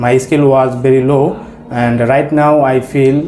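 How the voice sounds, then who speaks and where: A man with a Bengali accent, fairly high-pitched for a man, at a very slow pace with fairly even intonation, plus audible room echo and noticeable background noise. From Bangladesh. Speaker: English language student. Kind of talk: mock speaking test interview. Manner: halting, many hesitations.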